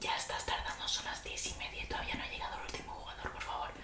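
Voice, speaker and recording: A woman whispers in a playful tone at a fairly quick pace, with noticeable background noise. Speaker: ASMR content creator. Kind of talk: ASMR roleplay, casual talk to camera. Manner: playful, chatty, soft-spoken.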